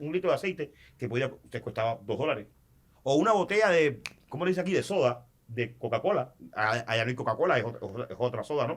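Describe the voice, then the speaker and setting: Very fast speech from a man, lively in intonation. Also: medium pitch for a man. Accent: Cuban. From Cuba. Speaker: sports journalist, commentator and announcer. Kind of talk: podcast interview answer.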